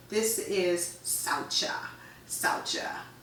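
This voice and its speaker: In an animated tone, a woman speaks at a fairly high pitch with very wide pitch swings, amid noticeable background noise and audible room echo. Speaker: yoga teacher. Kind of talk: casual explanatory talk.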